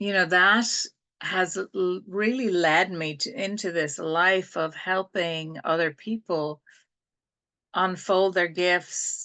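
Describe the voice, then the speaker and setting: A woman with an Irish accent speaks very slowly at a fairly low pitch, her tone bright and sharp and her intonation fairly even, against a quiet background. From Ireland. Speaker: spiritual teacher and healer. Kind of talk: group talk on a video call.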